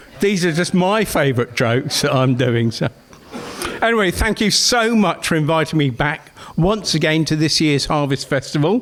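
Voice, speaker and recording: A man speaks at a moderate pace and a fairly high pitch, with noticeable background noise behind him. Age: 60s. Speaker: comedian. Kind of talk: stand-up. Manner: halting.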